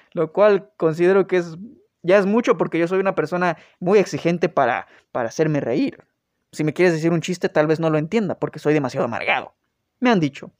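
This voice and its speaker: Speaking fairly quickly with a Mexican accent, a man with a high voice and ordinary pitch variation comes through dry and close with no echo against a quiet background. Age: 20s. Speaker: podcast host. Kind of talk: casual storytelling monologue.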